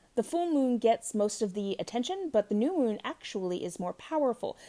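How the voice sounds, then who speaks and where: Her tone is dark and mellow. The speaker is a woman. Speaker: podcast host on witchcraft and moon magic. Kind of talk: casual talk on spirituality, partly read from notes. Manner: hesitant, many fillers.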